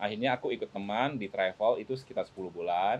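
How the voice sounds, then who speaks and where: The pitch moves in an ordinary way. The pace is very fast. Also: man. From Malay-speaking Chinese Indonesian region outside Jakarta. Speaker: businessman. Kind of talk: casual podcast interview.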